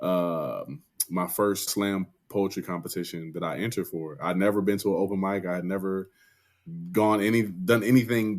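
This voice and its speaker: Speaking with an ordinary speaking voice, a man keeps a moderate pace, his pitch fairly low and his intonation fairly even. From Dayton, Ohio. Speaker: poet and spoken word artist. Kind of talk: interview conversation. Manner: casual, with many fillers.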